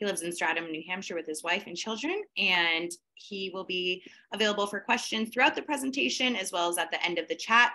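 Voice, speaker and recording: A woman talks at a fairly quick pace. Her tone is bright and sharp, with lively intonation. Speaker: event moderator. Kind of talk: formal introduction and moderation. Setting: video call. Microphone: video call.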